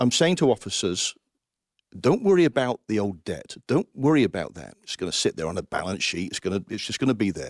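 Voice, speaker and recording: A man speaks in a passionate tone with an English accent, at a fairly quick pace and with very wide pitch swings. Vocal fry runs through his voice, and the sound is dry and close with no echo. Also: medium pitch for a man. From England, Coventry. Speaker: Salvation Army officer, finance administrator. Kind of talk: interview.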